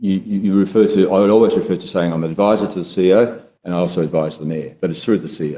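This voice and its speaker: This man has a very deep, low pitch and a dark, mellow tone, speaking with ordinary pitch variation and an Australian accent. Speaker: former council director and former state politician. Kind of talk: testimony at public inquiry. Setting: courtroom hearing. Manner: halting, many fillers; quiet.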